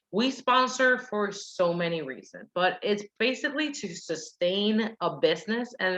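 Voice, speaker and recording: At a fairly slow pace, a woman with a Puerto Rican accent speaks at a medium pitch with very wide pitch swings. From Puerto Rico. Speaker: direct sales team leader and soldier. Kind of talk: sales training presentation. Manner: animated.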